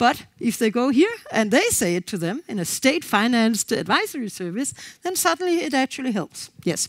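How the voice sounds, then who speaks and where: With a Danish accent, a woman speaks at a fairly quick pace in a high pitch, her voice making very wide pitch swings. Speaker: co-housing organization representative. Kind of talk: conference presentation. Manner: fast.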